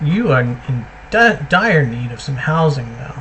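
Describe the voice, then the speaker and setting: With noticeable background noise underneath, the speaking moves at a fairly slow pace. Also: man. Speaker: gaming video creator. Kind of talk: gameplay commentary. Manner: casual, thinking aloud.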